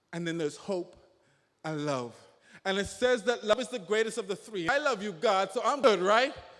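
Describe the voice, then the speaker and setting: The man's voice is high-pitched, with lively intonation. He speaks at a moderate pace. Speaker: young reverend / spoken word poet. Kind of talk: spoken word poetry, gospel. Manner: earnest, preaching, rhythmic delivery.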